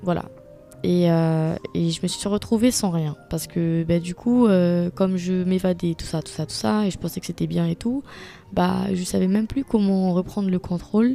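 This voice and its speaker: Music behind a woman's moderately paced voice. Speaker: podcaster. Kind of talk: personal monologue. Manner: hesitant, many fillers.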